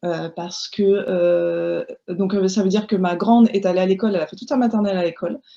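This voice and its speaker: A woman speaks with a dark, mellow tone and ordinary pitch variation. Her voice is somewhat breathy. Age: 30s. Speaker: homeschooling mother and blogger. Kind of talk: casual chat.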